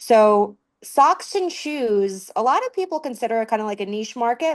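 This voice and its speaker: A woman with a slight Southern US accent, lively intonation and a moderate pace against a quiet background. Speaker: promotional products sales professional. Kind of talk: podcast interview.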